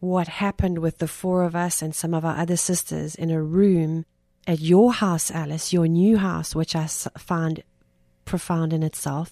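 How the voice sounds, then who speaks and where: In a South African accent, a woman with a dark, mellow tone and fairly low pitch speaks fairly slowly with fairly even intonation, the recording very clean with a silent background and a dry, close sound with no echo. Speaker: podcast host and discussion leader. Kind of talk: faith-based conversation.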